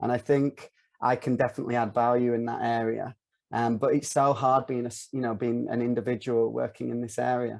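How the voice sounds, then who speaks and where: A man with a Northern English accent talks at a fairly quick pace and a medium pitch, his intonation monotone and flat. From North of England. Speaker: filmmaker and virtual reality producer. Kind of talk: podcast interview answer.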